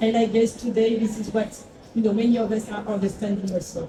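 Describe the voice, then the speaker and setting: Over noticeable background noise, a woman talks at a moderate pace with a fairly high pitch. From France. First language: French. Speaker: agave spirits brand founder. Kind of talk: panel talk.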